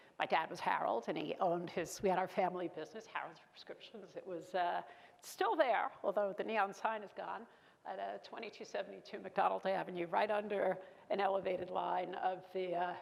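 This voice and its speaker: Speaking at a fairly quick pace, a woman talks in a Brooklyn accent. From US Northeast, Brooklyn, New York. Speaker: keynote speaker, former corporate executive. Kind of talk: keynote speech.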